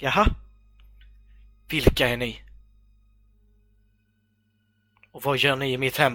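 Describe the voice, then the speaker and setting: A shaky, put-on character voice with fairly even intonation swings widely in loudness and leaves long, frequent pauses. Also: man, medium pitch for a man. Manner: trying to hide a shaky voice.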